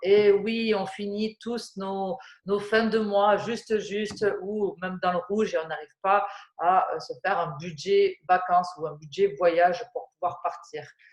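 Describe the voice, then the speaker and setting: A woman's medium-pitched voice at a very slow pace, with fairly even intonation. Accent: southwestern French. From southwest France. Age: 30s. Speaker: flight attendant turned network-marketing presenter. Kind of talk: sales presentation. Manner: hesitant, many fillers.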